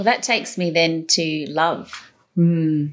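A woman with an Australian accent, fairly low in pitch. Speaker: podcast and radio host. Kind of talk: interview conversation.

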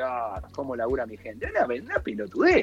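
A man talks in a Rioplatense accent with noticeable background noise behind him. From Argentina, La Plata. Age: 40s. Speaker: entrepreneur and speaker. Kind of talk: casual interview.

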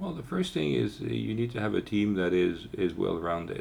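With ordinary pitch variation, the man's voice sits at a very deep, low pitch. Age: 50s. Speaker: business angel and investor. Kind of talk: interview. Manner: hesitant, many fillers.

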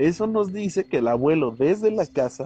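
Lively intonation and a dark, mellow tone carry this voice along at a moderate pace. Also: man. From Mexico, San Luis Potosí. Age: 20s. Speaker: podcast co-host. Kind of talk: casual chat. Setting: outdoors at home.

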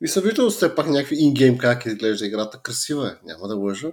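In a very clean recording with a silent background, a man talks at a fairly quick pace in a normal speaking voice with ordinary pitch variation. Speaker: podcast co-host. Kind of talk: casual chat.

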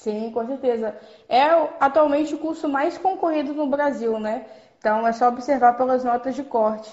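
Her pitch is high and moves with ordinary variation as the woman talks. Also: moderate pace. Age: 20s. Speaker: former student, essay writing tips. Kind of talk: casual interview, tutorial. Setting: Instagram live.

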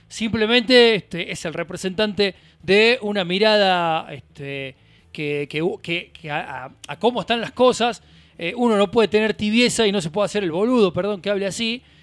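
High pitch from a man at a moderate pace, ordinary pitch variation, very clean recording and silent background. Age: 40s. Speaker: radio host. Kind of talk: casual chat. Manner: halting.

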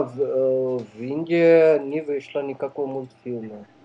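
A man with a fairly high voice speaks with fairly even intonation. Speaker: neurosurgeon and film distributor. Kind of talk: radio interview. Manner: halting, many fillers.

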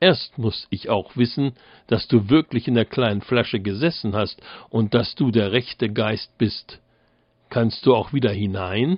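An ordinary speaking voice from a man, medium in pitch, with ordinary pitch variation and a fairly slow pace. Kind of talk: fairy tale narration, read aloud with character voices.

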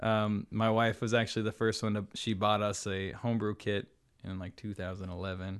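A fairly quick, monotone and flat American accent over a quiet background. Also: man. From US Pacific Northwest (Seattle). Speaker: brewer. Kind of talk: casual chat. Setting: studio.

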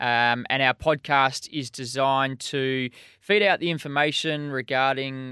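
A man's medium-pitched voice with a bright, sharp tone, fairly slow and fairly even in intonation, dry and close with no echo, on a very clean recording over a silent background. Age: 30s. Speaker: podcast co-host. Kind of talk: casual chat.

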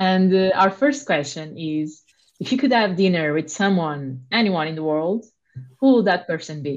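A woman talks in an ordinary speaking voice at a moderate pace. Her pitch is fairly low, and her intonation is lively. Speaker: podcast co-host. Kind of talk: interview.

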